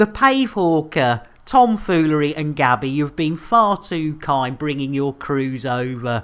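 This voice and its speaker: A fairly slow, animated delivery in a British accent, with hardly any pauses. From Britain. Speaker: game streamer. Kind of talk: live gaming stream chat. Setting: live stream. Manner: animated, jokey.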